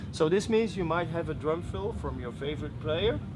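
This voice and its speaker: A fairly high-pitched man at a moderate pace, with audible room echo. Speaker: product demonstrator. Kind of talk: product demo. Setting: trade fair.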